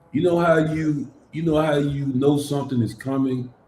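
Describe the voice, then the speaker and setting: With an American accent, a man talks in a dark, mellow, somewhat breathy tone and monotone, flat intonation. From US South, Memphis, Tennessee. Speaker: church podcast co-host. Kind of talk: casual chat.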